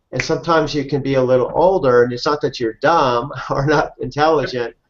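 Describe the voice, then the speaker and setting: A man talks fairly quickly in a normal speaking voice. His pitch is fairly high and his intonation fairly even. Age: 60s. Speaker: interviewer, affiliate marketer. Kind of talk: casual interview chat.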